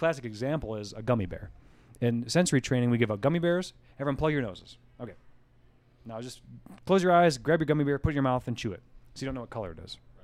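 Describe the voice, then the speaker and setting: In an American accent, a man with a medium-pitched voice talks very fast with lively intonation, big swings in loudness and long, frequent pauses. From US Northeast (rural western New York, southern tier). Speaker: brewery co-founder and head brewer. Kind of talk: casual interview chat. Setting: brewery office.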